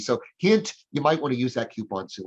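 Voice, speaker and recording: The voice belongs to a man. It sounds somewhat breathy. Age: 60s. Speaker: hiring consultant and speaker. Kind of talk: business presentation. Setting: live-streamed chamber meeting.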